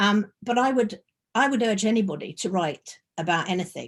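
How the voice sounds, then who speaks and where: With ordinary pitch variation, a woman talks in a somewhat breathy voice. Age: 70s. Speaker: memoir author. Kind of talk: book launch interview. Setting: video call. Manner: halting.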